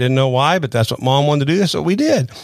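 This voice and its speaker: This man speaks with a Southern US accent. His pitch is fairly high. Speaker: pastor. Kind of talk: sermon-style podcast talk. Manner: informal, conversational.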